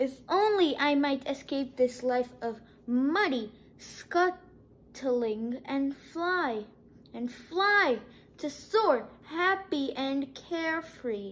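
A woman puts on a character voice, high-pitched and delivered at a very slow pace. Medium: read story.

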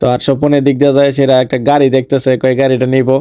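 In an eastern Bangladeshi accent, a man speaks with a dark, mellow tone and monotone, flat intonation. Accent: Brahmanbaria regional Bengali dialect. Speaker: vlogger. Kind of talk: vlog narration. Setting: outdoors at a fair.

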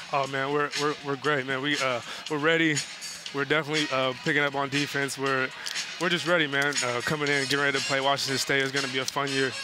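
A man talks at a very fast pace. The sound is dry with no echo, and clear music plays in the background. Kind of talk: interview answer. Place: stadium. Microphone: headset.

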